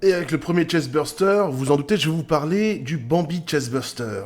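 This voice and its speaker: Somewhat breathy and fairly high-pitched, a man speaks at a fairly slow pace with lively intonation. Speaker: YouTuber covering sci-fi creatures. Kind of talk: casual video commentary. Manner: hesitant.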